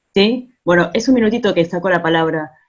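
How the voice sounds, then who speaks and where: Ordinary pitch variation in a woman's voice at a medium pitch. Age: 40s. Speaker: musician and theatre collaborator. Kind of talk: casual remarks in an online talk. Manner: halting.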